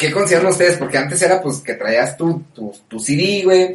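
A plain, everyday voice, fairly high for a man, proceeds at a moderate speed. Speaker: podcast co-host. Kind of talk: casual chat.

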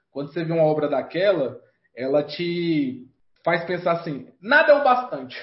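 A man talks at a moderate pace with a high pitch. His intonation is lively. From Brazil, Federal District (Vale do Amanhecer, Brasília periphery). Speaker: comic book artist. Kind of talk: casual interview.

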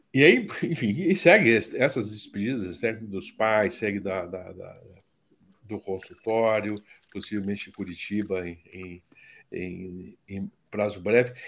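On a very clean recording with a silent background, a man talks at a very slow pace with fairly low pitch, ordinary pitch variation and big swings in loudness. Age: 60s. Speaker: psychotherapist. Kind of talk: casual chat.

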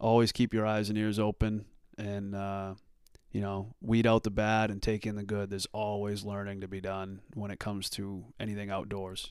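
On a very clean recording with a silent background, a man with a fairly low pitch speaks at a fairly quick pace in a monotone, flat intonation. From US Northeast, southern Maine. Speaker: hunter and outdoors video creator. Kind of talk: casual interview chat.

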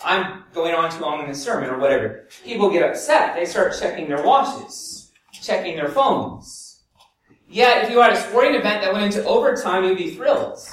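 There is audible echo from the room. A man talks at a moderate pace. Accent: American. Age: 40s. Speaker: pastor. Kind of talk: sermon.

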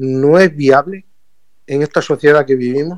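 Speaking at a fairly slow pace, a man has a fairly high voice. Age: 40s. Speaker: environmental activist and expert. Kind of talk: radio interview.

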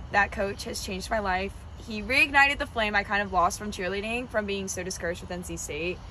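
The speaker has an American accent and a fairly quick pace, with ordinary pitch variation. Background noise is noticeable. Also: woman, medium pitch for a woman. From North Carolina, Wake Forest near Raleigh. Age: 20s. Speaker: college cheerleader. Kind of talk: casual interview chat.

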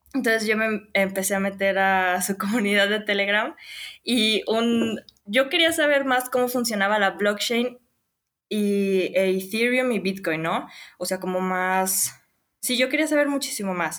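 Using an ordinary speaking voice, a woman talks at a fairly slow pace with a medium pitch and ordinary pitch variation. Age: 20s. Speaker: crypto community contributor. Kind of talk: interview.

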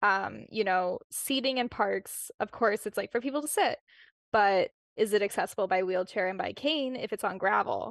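With a Canadian accent and some vocal fry, a woman speaks at medium pitch and a moderate pace, her pitch varying normally, in a dry, close recording with no echo and a quiet background. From Winnipeg, Canada. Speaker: urbanism advocate, co-founder of a women's urbanism group. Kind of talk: casual interview chat. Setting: video call.

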